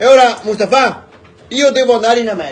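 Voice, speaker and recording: Noticeable background noise accompanies a man speaking at an extremely high pitch. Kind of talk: joke telling. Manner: casual, lively.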